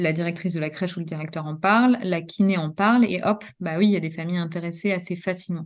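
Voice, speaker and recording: Over a quiet background, a woman with a fairly low pitch speaks at a very fast pace with fairly even intonation. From Normandy, France. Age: 40s. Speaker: pediatric nurse and trainer. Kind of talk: interview.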